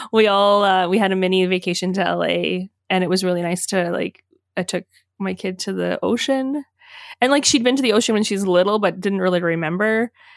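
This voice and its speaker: A woman with a normal speaking voice talks at a fairly quick pace, her medium pitch showing ordinary variation. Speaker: podcast host. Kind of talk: interview.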